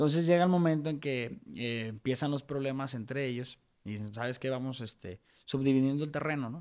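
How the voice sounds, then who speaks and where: A man talks at a moderate pace. It is quiet behind him. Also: ordinary pitch variation. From Mexico, Guadalajara; Jalisco, Mexico. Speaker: lawyer and real estate developer; podcast guest. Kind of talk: interview conversation; interview answer. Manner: halting, many fillers. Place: studio. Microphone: studio mic.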